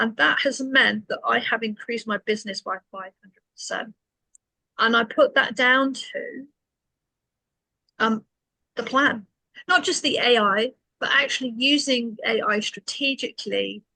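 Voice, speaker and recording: A woman with a British accent speaks at a fairly slow pace, with long, frequent pauses and big swings in loudness, in a dry, close sound with no echo. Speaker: business coach. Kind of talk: webinar presentation.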